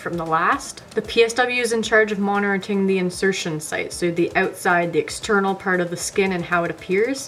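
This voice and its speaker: Noticeable noise sits behind a woman at a medium pitch. She talks fairly quickly with ordinary pitch variation. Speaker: personal support worker educator. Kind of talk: tutorial.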